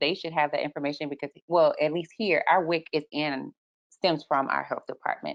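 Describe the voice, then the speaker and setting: A woman with an American accent uses an ordinary speaking voice at a moderate pace. Her pitch is fairly low, with ordinary pitch variation. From Texas. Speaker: lactation consultant, webinar co-host. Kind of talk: casual panel discussion.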